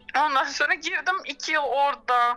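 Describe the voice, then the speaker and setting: A woman speaks in a high pitch, her voice raised and projected. Her pitch swings very widely. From Turkey, Izmir. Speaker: orchestral violist. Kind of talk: interview.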